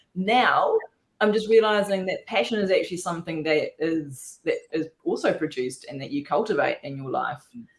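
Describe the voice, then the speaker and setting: This woman has an Australian accent and speaks at a moderate pace. Her loudness swings a lot. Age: 40s. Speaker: rum distiller, distillery founder. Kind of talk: casual chat.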